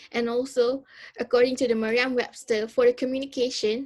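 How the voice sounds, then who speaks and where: This woman has a high-pitched voice. She speaks with a Malaysian accent. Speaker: university student. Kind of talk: student presentation. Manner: halting, many fillers.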